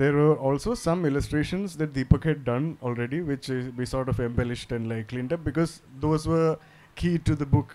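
The tone is dark and mellow, delivered at a fairly quick pace. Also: man, fairly high pitch for a man, ordinary pitch variation. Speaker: comics artist. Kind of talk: literary festival panel discussion. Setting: stage with audience. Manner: casual and laid-back. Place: stage. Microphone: handheld.

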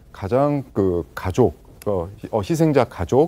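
A man's voice with very wide pitch swings. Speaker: disaster prevention professor. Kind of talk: TV panel discussion. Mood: serious, explanatory. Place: studio.

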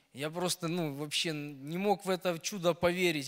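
Against a quiet background, a man speaks in a high pitch with fairly even intonation. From Belarus, Brest region; Belarus. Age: 30s. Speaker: truck driver. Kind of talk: testimony; personal testimony story. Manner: halting. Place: church. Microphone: handheld.

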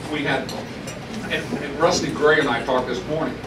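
There is noticeable background noise. A man talks over it at a fairly quick pace. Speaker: speaker. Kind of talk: reminiscing speech to audience. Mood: nostalgic, humorous. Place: hall.

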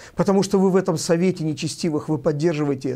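Against a quiet background, a man with a high-pitched voice and a dark, mellow tone talks at a fairly quick pace. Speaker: bishop and channel host. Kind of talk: video address commentary. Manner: emotional. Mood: indignant, accusatory. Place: studio.

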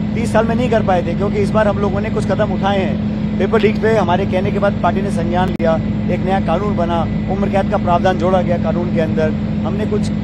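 A man talks at a moderate pace. The sound is dry with no echo, yet loud background noise intrudes. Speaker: politician. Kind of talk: interview answer. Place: plane. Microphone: handheld.

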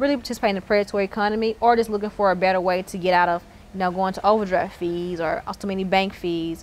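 Over light background noise, a woman with a Southern US accent and medium pitch talks at a very fast pace with fairly even intonation. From Mississippi, Terry near Jackson; Mississippi. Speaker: tech entrepreneur. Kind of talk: interview. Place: hall. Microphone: lapel.

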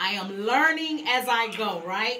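Noticeable background noise sits behind a woman whose bubbly tone carries ordinary pitch variation. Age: 40s. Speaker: gospel radio show host; radio show host, interview guest. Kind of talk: interview. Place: studio. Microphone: studio mic.

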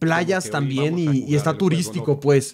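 A man with a Mexican accent talks in an animated tone over noticeable background noise. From Mexico. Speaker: streamer. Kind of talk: casual chat. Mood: relaxed, joking. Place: home room. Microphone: studio mic.

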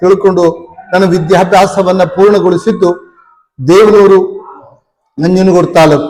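A man speaks in a high voice. Music plays in the background. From Karnataka, Nanjangud taluk (Mysuru district). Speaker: village drama director and harmonium player. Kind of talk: interview. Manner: formal.

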